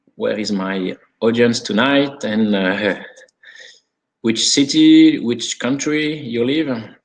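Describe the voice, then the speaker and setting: A man at a very slow pace, with a medium pitch and ordinary pitch variation. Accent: French. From France. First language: French. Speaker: sommelier and wine consultant. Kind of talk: webinar presentation. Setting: online video conference. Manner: halting, many fillers.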